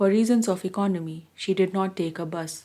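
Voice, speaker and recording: The tone is dark and mellow, as well as calm and soothing, at a moderate pace. The recording is very clean with a silent background. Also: woman. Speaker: audiobook reader. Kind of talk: read story. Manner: calm, soothing.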